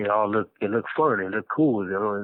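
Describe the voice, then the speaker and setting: At a fairly quick pace, a man with a normal speaking voice talks at a fairly low pitch. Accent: American. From Los Angeles, California. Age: 30s. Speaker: incarcerated former gang member. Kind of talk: personal life story interview. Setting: prison phone call.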